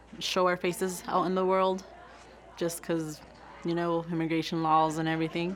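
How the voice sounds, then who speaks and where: Crowd noise and audible room echo surround a woman with a Spanish accent, who speaks at a fairly low pitch with fairly even intonation. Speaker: community member. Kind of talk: interview testimony.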